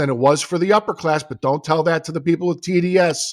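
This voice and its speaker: Over background music, a man's voice sits high in pitch. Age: 50s. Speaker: podcast host. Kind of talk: political chat. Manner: animated; halting.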